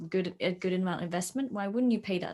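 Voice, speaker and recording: At a fairly quick pace, a woman with a Swedish accent speaks at a medium pitch with fairly even intonation, on a very clean recording with a silent background. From Sweden. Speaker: fitness coach. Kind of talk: casual chat.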